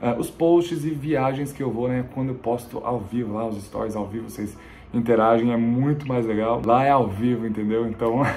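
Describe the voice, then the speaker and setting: A man keeps his intonation fairly even and his pace moderate, with light background noise behind him. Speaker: travel vlogger. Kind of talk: casual vlog chat. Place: home room.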